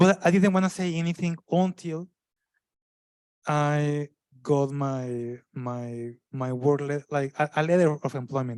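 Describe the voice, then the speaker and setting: A man with a strong non-native accent is heard in a dry, close sound with no echo on a very clean recording with a silent background. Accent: thick non-native. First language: not English. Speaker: panelist, migrant professional. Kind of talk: panel discussion. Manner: halting, many fillers and restarts.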